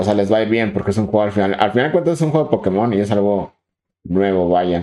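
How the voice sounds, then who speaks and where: A man's fairly low, dark and mellow voice with a Mexican accent. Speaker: podcast co-host. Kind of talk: casual chat.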